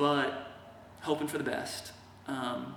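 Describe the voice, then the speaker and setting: A man talks at a very slow pace, with noticeable background noise and audible room echo. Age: 30s. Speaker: patient video blogger. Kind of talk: video diary monologue. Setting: in his workshop. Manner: casual, hesitant.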